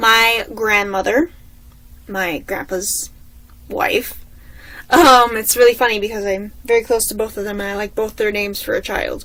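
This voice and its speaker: The speaker sounds animated, with a bright, sharp tone, a moderate pace and long, frequent pauses. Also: woman, fairly high pitch for a woman. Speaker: vlogger. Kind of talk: casual chat.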